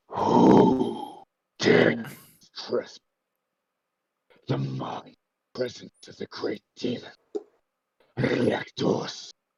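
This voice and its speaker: A man's growling, put-on character voice, at a very slow pace with long, frequent pauses. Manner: booming, commanding.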